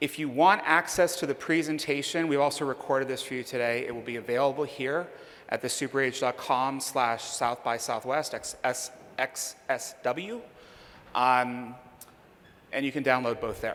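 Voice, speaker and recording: With an American accent, this man has an ordinary speaking voice, medium pitch, ordinary pitch variation and a moderate pace. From Pittsburgh, US. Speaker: conference speaker on demographics. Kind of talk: conference Q&A. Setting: stage with audience.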